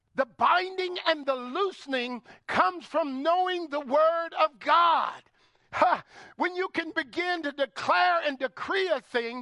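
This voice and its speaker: A man speaks in a raised, projected voice at an extremely high pitch, his tone bright, sharp and animated. The sound is dry and close, with no echo. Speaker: guest preacher. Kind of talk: sermon. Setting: church with congregation. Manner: loud.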